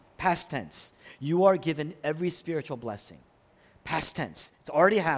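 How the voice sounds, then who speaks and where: Here is an ordinary speaking voice with ordinary pitch variation and big swings in loudness. The recording is very clean and the background silent. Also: man, fairly high pitch for a man, moderate pace. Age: 40s. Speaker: pastor. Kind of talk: sermon.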